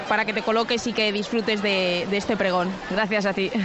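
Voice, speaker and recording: Over noticeable background noise and audible room echo, a woman talks at a moderate pace and a medium pitch. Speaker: radio reporter. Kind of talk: live field report. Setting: outdoors in town square.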